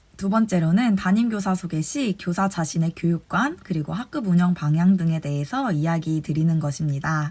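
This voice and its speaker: A woman with a fairly low, somewhat breathy voice and a dark, mellow tone speaks at a moderate pace with ordinary pitch variation. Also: hardly any pauses. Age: 20s. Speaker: kindergarten teacher sharing advice. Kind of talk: advice talk to fellow teachers. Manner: formal.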